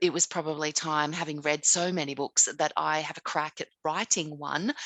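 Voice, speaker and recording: At a moderate pace, a woman with an Australian accent speaks in a very deep, low pitch with fairly even intonation. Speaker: author and writing teacher. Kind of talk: casual interview. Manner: hesitant, with many fillers.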